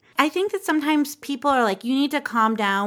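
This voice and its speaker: In a very clean recording with a silent background, a woman with an American accent speaks very fast with ordinary pitch variation. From Southern California. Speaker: podcast host. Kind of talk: casual chat.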